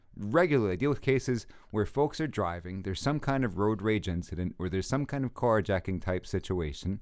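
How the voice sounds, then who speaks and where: Speaking in an ordinary speaking voice with an American accent, a man with a fairly low pitch moves at a fairly quick pace with hardly any pauses and lively intonation, on a very clean recording with a silent background. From Brooklyn, New York. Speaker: attorney and podcast host. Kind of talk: casual chat.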